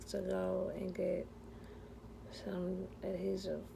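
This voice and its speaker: With audible room echo around her, a woman talks at a very slow pace. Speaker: vlogger sharing denture experience. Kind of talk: personal vlog. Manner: slurred speech; hesitant, many fillers.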